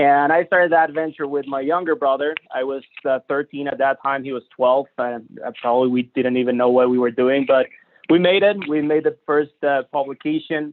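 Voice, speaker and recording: Spoken at a moderate pace with a strong Mexican accent, the voice keeps a fairly even intonation. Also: man, fairly high pitch for a man. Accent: heavy Mexican Spanish. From Mexico, Monterrey. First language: Spanish. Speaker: entrepreneur and business center staff. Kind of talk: webinar presentation. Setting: live-streamed video webinar. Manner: halting, many fillers.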